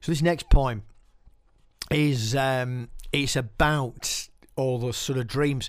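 With a Yorkshire accent, a man speaks at a medium pitch and a very slow pace, with fairly even intonation and long, frequent pauses. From West Yorkshire, Keighley. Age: 50s. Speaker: podcast host and poet. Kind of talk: casual podcast presenting.

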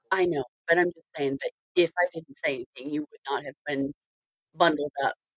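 With an American accent and a very deep, low pitch, a woman talks at a fairly quick pace but leaves long, frequent pauses, the sound dry and close with no echo. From northern US. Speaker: podcast host. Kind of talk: casual chat.

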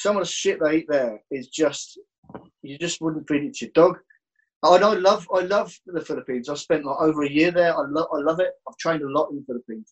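Fairly quick speech in a Birmingham accent, with ordinary pitch variation. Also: man, fairly high pitch for a man, big swings in loudness. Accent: Birmingham (Brummie) English. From Birmingham, England. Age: 40s. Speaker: jiu-jitsu instructor and gym owner. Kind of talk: interview, life story.

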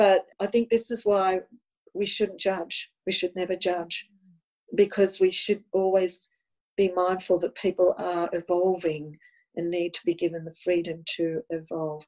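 A woman with an Australian accent speaks at a medium pitch and a fairly slow pace, with fairly even intonation, in a dry, close sound with no echo. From Australia, Sydney. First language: Italian. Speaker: spiritual healer and tarot counsellor. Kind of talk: personal testimony interview.

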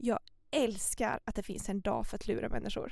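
The voice has vocal fry and lively intonation. It moves at a moderate pace. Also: woman. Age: 20s. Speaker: podcast co-host, psychology student. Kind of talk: casual chat.

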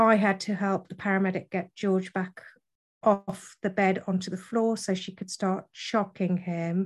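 Over a quiet background, a woman speaks slowly-ish at a medium pitch, somewhat breathy. Her intonation is monotone and flat, and her pace is fairly slow. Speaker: widow. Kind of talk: interview testimony.

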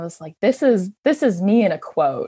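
A woman with a Canadian accent, a dark, mellow tone and lively intonation. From Ontario, Canada (Hamilton). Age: 20s. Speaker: hiker. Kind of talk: casual interview.

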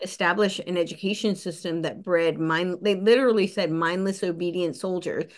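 Here a woman speaks with an American accent at a fairly quick pace. Her pitch sits in the medium range. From US, New Jersey (near New York City). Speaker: podcast host and researcher. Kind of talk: casual interview conversation. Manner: animated.

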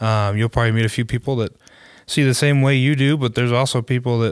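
Speech comes at a fairly quick pace with fairly even intonation. The recording is very clean, with a silent background. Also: man. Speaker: podcast host. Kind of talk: casual conversational podcast discussion. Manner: hesitant, many fillers and restarts.

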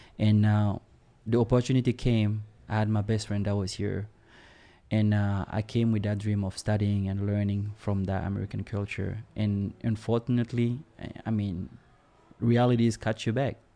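A man with a West African French accent speaks at a moderate pace in a fairly low pitch with a dark, mellow tone. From Burkina Faso. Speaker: immigrant and manager. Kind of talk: casual interview. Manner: optimistic, upbeat.

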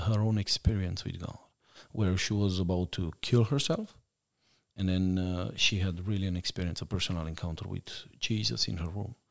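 With a Romanian accent, a man talks at a moderate pace in a very deep, low voice with ordinary pitch variation. The recording is very clean and the background silent. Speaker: missionary. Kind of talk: interview testimony.

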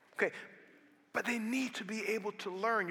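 A man with a high pitch talks at a fairly quick pace in a raised, projected voice, his tone animated, bright and sharp. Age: 40s. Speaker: pastor. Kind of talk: sermon. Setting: church.

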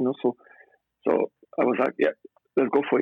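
Man with a French accent. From France. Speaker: former footballer, personal trainer. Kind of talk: interview. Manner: halting.

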